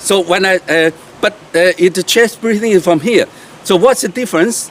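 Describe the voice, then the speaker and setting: Moderate pace and ordinary pitch variation from a man with a high pitch and a Chinese accent. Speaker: qigong teacher. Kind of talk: tutorial. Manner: halting, many fillers.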